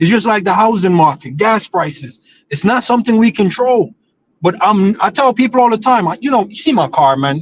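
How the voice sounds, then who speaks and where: A man speaks loudly at a fairly quick pace. His voice is high-pitched with lively intonation. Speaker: football streamer. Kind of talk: casual chat. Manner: animated.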